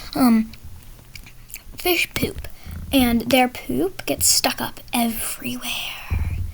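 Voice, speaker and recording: Whispering comes through with long, frequent pauses and noticeable background noise. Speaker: gaming tutorial creator. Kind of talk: tutorial. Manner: halting, with fillers.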